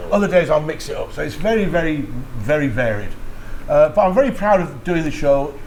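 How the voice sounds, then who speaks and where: With noticeable background noise and audible room echo, a man speaks at a fairly quick pace, his fairly high voice swinging very widely in pitch. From Yorkshire, northern England. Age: 60s. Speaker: radio DJ. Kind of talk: casual interview chat. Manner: animated.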